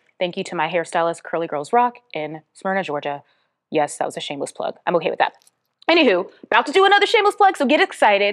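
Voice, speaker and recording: A woman speaks in an animated tone with vocal fry and very wide pitch swings. The sound is dry and close with no echo. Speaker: podcast host and author. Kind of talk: casual podcast monologue.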